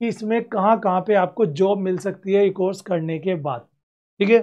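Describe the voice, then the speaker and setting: Against a quiet background, a man with a high-pitched voice talks at a fairly slow pace. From India. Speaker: education YouTuber, career guidance; education YouTuber. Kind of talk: career guidance talk to camera. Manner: conversational, direct address. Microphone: lapel.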